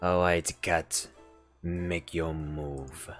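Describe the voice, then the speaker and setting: A man's put-on character voice, very deep and low, drawling in monotone, flat intonation over faint music in the background. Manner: exaggerated, tough, drawling.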